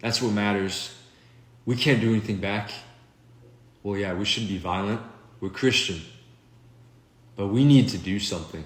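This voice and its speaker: A man speaks at a fairly low pitch with ordinary pitch variation and a somewhat breathy voice. Long, frequent pauses break his speech, and room echo is audible. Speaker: video blogger. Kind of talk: political monologue. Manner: slow; unscripted, halting.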